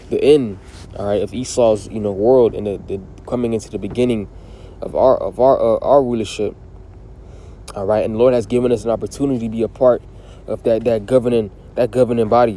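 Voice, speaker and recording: A man's voice at medium pitch, monotone and flat, at a very fast pace broken by long, frequent pauses, amid noticeable background noise. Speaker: religious teacher. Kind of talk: sermon. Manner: halting, many repetitions and fillers.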